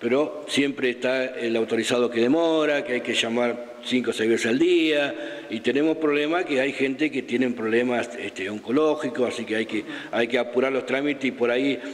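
Fairly even in intonation, a man talks at a fairly quick pace. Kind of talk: interview answer. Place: office. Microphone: handheld.

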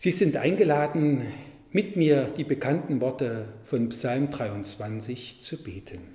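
At a very slow pace, a somewhat breathy voice with a dark, mellow tone swings widely in loudness, with audible room echo over a quiet background. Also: man, fairly high pitch for a man. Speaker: Lutheran pastor. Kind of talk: church devotional / sermon reading. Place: church.

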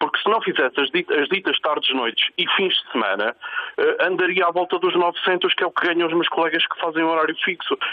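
Against noticeable background noise, a man talks at a fairly quick pace with very even loudness. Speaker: nurse caller. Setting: phone call.

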